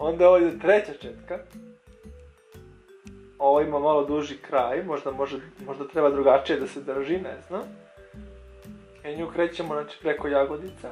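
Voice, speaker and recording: With music in the background, the speaker's loudness swings widely while the intonation stays fairly even. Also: man, fairly high pitch for a man. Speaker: amateur voiceover narrator. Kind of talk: improvised humorous voiceover of makeup tutorial. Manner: hesitant, joking.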